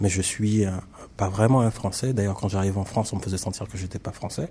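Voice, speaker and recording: A man's voice comes through dark and mellow at a fairly low pitch. It is somewhat breathy. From Caribbean (French Antilles). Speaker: visual artist. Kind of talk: interview. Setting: studio.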